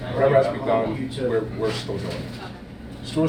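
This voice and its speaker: With a Philadelphia accent, the speaker talks in a flat monotone amid noticeable background noise and audible room echo. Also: man. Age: 60s. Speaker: butcher shop owner. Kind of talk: interview.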